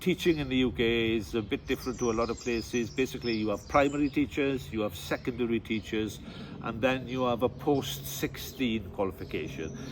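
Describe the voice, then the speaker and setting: With a strong Welsh accent, a man talks at a fairly quick pace with lively intonation. Background noise is noticeable. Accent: deep Welsh. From West Wales, near Cardigan. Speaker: tour guide and teacher. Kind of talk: interview. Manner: halting, with many fillers.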